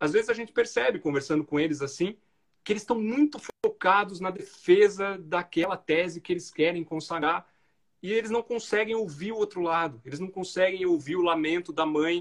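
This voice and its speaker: The room behind this man is quiet. He talks at an average speed. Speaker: federal judge. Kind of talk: interview conversation.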